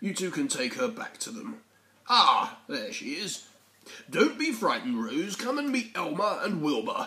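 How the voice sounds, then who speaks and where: Using a put-on character voice, a man speaks at a moderate pace in an extremely high pitch. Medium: read story. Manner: gentle, warm.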